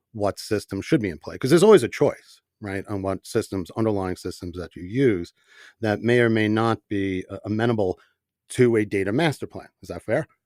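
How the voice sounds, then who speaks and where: A man with a New York accent and a fairly low pitch, at a fairly quick pace, with ordinary pitch variation and big swings in loudness, in a very clean recording with a silent background and a dry, close sound with no echo. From New York, the Bronx. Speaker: company CEO, podcast host. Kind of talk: panel podcast discussion.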